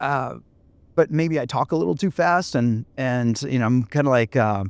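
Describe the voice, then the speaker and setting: In an ordinary speaking voice with lively intonation, a man talks at a moderate pace and medium pitch, the recording very clean with a silent background and a dry, close sound with no echo. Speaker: podcast host and entrepreneur. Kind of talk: casual chat.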